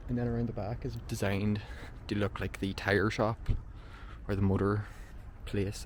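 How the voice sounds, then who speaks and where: Somewhat breathy and flat in a monotone, a man speaks at a fairly low pitch in a room with audible echo. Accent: Northern Irish. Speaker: urban explorer vlogger. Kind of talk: walkthrough vlog narration. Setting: outdoors on abandoned film set.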